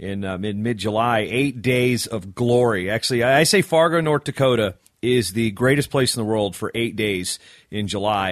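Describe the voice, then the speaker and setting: With an American accent and an unremarkable speaking voice, a man speaks at a medium pitch with ordinary pitch variation. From Virginia, US. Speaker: wrestling podcast host. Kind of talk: casual interview chat.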